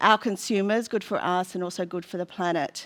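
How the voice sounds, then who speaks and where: Speaking at a moderate pace with a medium pitch and fairly even intonation, a woman with an Australian accent comes through on a very clean recording with a silent background. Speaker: food company representative. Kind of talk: panel presentation.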